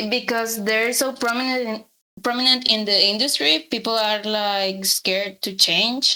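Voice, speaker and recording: A woman in a Spanish accent speaks at a fairly high pitch with ordinary pitch variation. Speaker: character artist. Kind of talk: casual interview. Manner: halting, repeats words.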